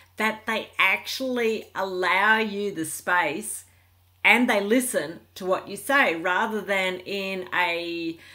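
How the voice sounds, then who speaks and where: An Australian-accented woman's voice, medium in pitch, with a bright, sharp tone and ordinary pitch variation. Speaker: relationship coach vlogger. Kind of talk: casual vlog monologue. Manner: calm, peaceful.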